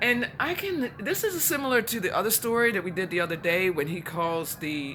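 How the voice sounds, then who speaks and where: Over noticeable background noise, the speaker talks at a moderate pace with lively intonation and an animated tone. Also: woman. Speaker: spiritual teacher. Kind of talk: guided scripture reflection. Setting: outdoors.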